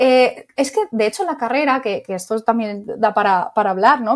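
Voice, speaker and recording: A woman talks at a fairly quick pace in a normal speaking voice with a fairly high pitch. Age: 30s. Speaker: psychologist and clinic owner. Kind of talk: interview.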